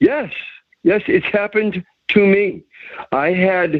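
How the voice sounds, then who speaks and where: At a very slow pace, a man speaks with an American accent and lively intonation. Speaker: prank call victim giving advice. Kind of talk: phone conversation.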